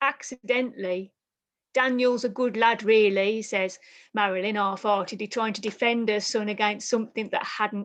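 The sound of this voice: It is an unforced reading voice. The background is quiet.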